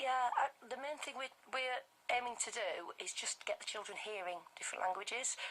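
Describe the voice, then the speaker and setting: A woman's high voice moves at a moderate pace with ordinary pitch variation while noticeable background noise runs beneath it. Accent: Yorkshire. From northern England (Bradford, West Yorkshire). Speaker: language group founder for toddlers. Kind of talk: live radio interview. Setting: radio studio.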